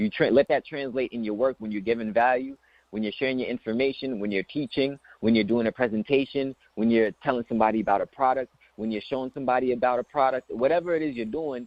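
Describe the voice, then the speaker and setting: This man speaks at a very fast pace. His pitch sits in the medium range and varies in an ordinary way. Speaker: business coach. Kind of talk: motivational talk.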